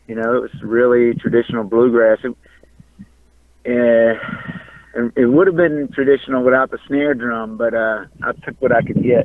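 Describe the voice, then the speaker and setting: A man's medium-pitched voice in a Louisiana accent. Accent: Louisiana drawl. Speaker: punk and country musician. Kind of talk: casual interview. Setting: in a car, driving in traffic. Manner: halting, repeats words.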